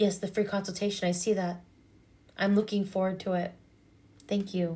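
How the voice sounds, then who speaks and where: Calm and somewhat breathy, a woman speaks at a moderate pace in a dark, mellow tone, her medium pitch held to a monotone, flat intonation. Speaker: hypnotherapist and energy reader. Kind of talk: livestream chat.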